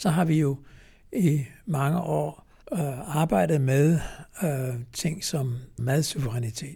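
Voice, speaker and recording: A man's fairly high, somewhat breathy voice with a dark, mellow tone and ordinary pitch variation, at a very slow pace with long, frequent pauses. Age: 80s+. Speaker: retired cardiologist and farming activist. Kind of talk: interview. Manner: hesitant, many filler sounds.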